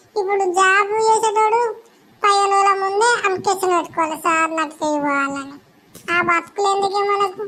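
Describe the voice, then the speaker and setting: A woman uses a put-on character voice at an extremely high pitch. Her pace is moderate and her pitch variation ordinary. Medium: comedy sketch. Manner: blunt, gossipy, complaining.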